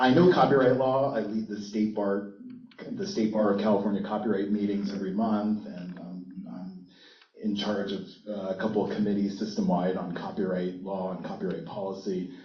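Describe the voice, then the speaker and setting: A loud man with a fairly low pitch, fairly even intonation and a fairly quick pace, with audible room echo. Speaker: university intellectual property attorney. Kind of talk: panel talk. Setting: conference stage with audience.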